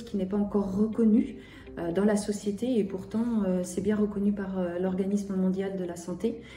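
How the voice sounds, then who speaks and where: A woman talks at a moderate pace with a medium pitch and fairly even intonation. Noticeable background noise and audible room echo fill the recording. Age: 40s. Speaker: patient association founder. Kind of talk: testimony. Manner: hesitant, frequent filler sounds.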